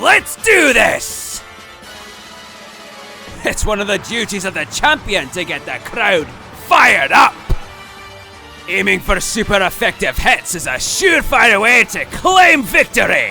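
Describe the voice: A man uses a put-on character voice, high-pitched, bright and sharp, with vocal fry and big pitch swings. He goes at a slow pace while faint music plays in the background.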